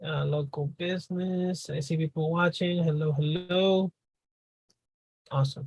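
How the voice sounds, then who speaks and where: The speaker has a Spanish accent. Long pauses come often. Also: fairly slow pace. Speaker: business coach. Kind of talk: live Q&A on video call. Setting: video call.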